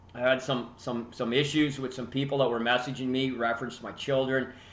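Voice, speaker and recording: A man with a Canadian accent in a monotone, flat delivery, with audible room echo. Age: 60s. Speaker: hockey podcast host. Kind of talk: casual monologue.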